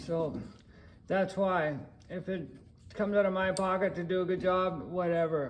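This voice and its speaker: A high-pitched man at a fairly slow pace, fairly even in intonation, with audible room echo. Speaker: auto mechanic. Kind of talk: repair tutorial. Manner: casual, hesitant with fillers.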